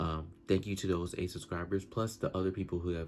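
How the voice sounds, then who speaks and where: On a very clean recording with a silent background, a man speaks at a very deep, low pitch with fairly even intonation. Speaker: vlogger. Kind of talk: casual vlog monologue. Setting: talking to camera. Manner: fast; stuttering, halting.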